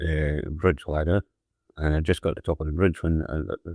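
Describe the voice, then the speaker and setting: Quiet background, dry and close sound with no echo. A man with a Scottish accent and a very deep, low pitch speaks at a moderate pace. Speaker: WW2 merchant navy radio officer. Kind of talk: personal wartime recollection. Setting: old cassette recording.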